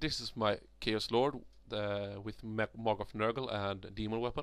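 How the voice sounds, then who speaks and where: A man talks at a moderate pace in a Swedish accent. The recording is very clean, with a silent background. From Sweden. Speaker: miniature hobbyist. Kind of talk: tutorial. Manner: halting.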